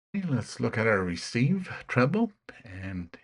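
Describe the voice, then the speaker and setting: A man speaks at a fairly slow pace in a somewhat breathy voice, his pitch swinging very widely. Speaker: ham radio hobbyist youtuber. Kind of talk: tutorial. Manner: halting, many fillers.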